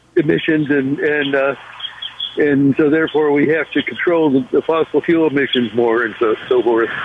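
A fairly high-pitched man speaks at a fairly slow pace with fairly even intonation, over noticeable background noise. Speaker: caller. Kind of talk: phone-in talk. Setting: phone call. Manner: halting.

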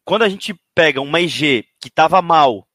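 This man's voice comes through dry and close with no echo, on a very clean recording with a silent background. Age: 30s. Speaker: esports coach. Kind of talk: interview. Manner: halting, many repetitions.

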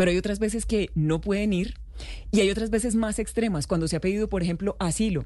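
A woman with a Santander Colombian accent talks very fast at a medium pitch, her dark, mellow tone carrying vocal fry, very even loudness and fairly even intonation. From Colombia, Santander. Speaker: happiness coach. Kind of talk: radio interview.

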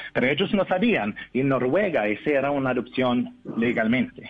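A man speaks at a moderate pace with lively intonation and a slight non-native accent. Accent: foreign accent in Spanish, slight. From Norway. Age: 30s. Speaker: adoptee reunited with family. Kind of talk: interview. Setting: phone call. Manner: halting.

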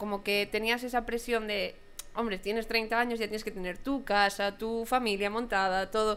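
Her pitch is fairly high as this woman talks at a moderate pace. Her intonation is monotone and flat. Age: 30s. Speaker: podcast host. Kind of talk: casual chat.

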